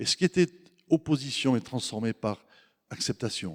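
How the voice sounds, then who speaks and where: Talking at a moderate pace, a man with a medium pitch and a southern French accent uses lively intonation in a dry, close sound with no echo. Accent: Mediterranean (southern French). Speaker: guest preacher. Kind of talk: sermon. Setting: church. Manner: hesitant repetitions.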